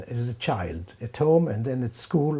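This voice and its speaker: Speaking with an Israeli accent, a man has a dark, mellow tone. He goes at a fairly slow pace with lively intonation. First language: Hebrew. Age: 70s. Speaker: professor. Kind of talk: interview. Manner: halting.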